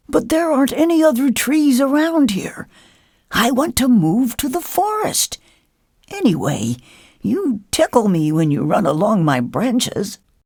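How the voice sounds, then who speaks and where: In a put-on character voice, the speaker uses a fairly high pitch and very wide pitch swings at a moderate pace. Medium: read story.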